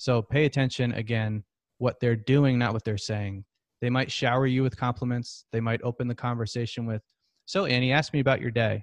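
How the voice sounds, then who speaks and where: An unremarkable speaking voice from a man, medium in pitch with fairly even intonation and a fairly quick pace, dry and close with no echo over a quiet background. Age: 30s. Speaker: entrepreneur and former robotics engineer. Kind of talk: casual interview.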